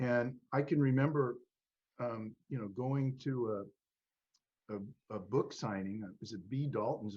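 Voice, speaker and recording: At a moderate pace, a man talks at a medium pitch with ordinary pitch variation, in a somewhat breathy voice with a dark, mellow tone. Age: 70s. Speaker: author and podcast host. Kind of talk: casual chat. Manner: halting, many restarts.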